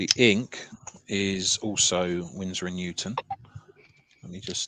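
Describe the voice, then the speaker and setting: At a fairly slow pace, a man with an English accent speaks in a bright, sharp tone with a fairly low pitch, the sound dry and close with no echo. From southern England, Sussex. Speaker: artist. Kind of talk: casual chat.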